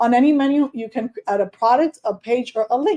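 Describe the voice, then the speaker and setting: In a Spanish accent, a woman with a high pitch and a dark, mellow tone speaks with a dry, close sound and no echo. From Dominican Republic. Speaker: online course coach. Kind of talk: tutorial. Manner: casual.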